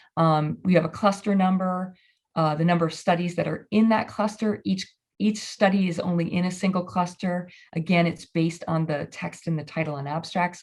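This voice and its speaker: A somewhat breathy woman's voice, fairly low in pitch, with fairly even intonation. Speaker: librarian presenting research. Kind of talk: conference presentation. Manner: fast; halting, many fillers.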